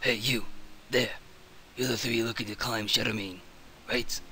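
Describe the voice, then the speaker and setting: A man's raspy, put-on character voice at medium pitch, moderate pace and monotone, flat intonation, with clear background noise. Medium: actual play. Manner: earnest, confiding.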